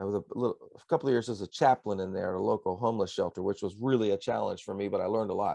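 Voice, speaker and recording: With hardly any pauses, a man talks at a very fast pace, his loudness swinging widely. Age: 60s. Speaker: pastor and songwriter. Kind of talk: interview. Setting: radio broadcast.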